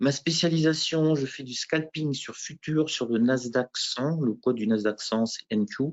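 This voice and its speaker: With a plain, everyday voice, a man speaks at a fairly slow pace and medium pitch, with ordinary pitch variation and hardly any pauses. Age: 50s. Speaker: professional futures trader, former teacher. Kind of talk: interview self-presentation at conference. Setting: trading conference.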